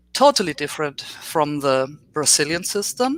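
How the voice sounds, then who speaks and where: A woman with a German accent speaks at a very deep, low pitch in a dry, close recording with no echo. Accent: German accent in English, basic English. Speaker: professor. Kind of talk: lecture. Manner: slow.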